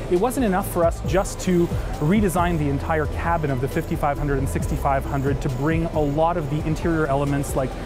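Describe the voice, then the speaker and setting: Over clear background music, a man's speech moves at a moderate pace. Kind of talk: interview answer. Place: hall.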